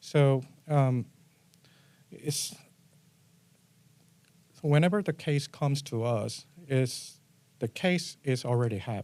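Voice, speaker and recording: A man with a Korean accent, fairly high pitch and a dark, mellow tone, at a very slow pace with long, frequent pauses and ordinary pitch variation. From South Korea. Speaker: assistant district attorney. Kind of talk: interview answer.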